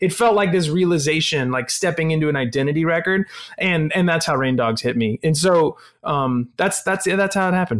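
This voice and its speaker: In a normal speaking voice, a man with a fairly high pitch talks with ordinary pitch variation and very even loudness. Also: fairly quick pace. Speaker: rock band frontman. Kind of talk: casual chat.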